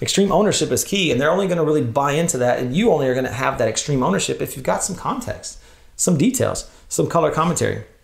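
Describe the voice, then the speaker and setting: With audible room echo, a man with an American accent speaks very fast at a fairly high pitch, his intonation lively. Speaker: church leader, workshop speaker. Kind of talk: conference workshop talk.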